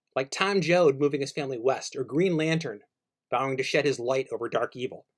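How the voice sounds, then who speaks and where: Lively intonation marks this man's fairly high voice, delivered at a moderate pace. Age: 60s. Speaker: radio co-host and music writer. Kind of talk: commentary with reading aloud from own book. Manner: reflective.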